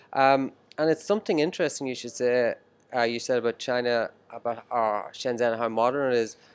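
A man talks at a fairly quick pace in an Irish accent, with a medium pitch and ordinary pitch variation, on a very clean recording with a silent background. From Ireland. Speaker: podcast host. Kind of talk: interview. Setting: restaurant.

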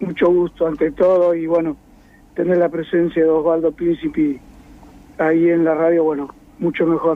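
Fairly even intonation and a moderate pace in a man's high voice. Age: old. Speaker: retired physical education teacher. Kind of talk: radio interview.

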